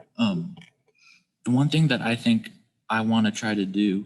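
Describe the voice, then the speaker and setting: Medium in pitch, a man's voice moves at a moderate pace. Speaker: athletic director. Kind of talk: casual discussion.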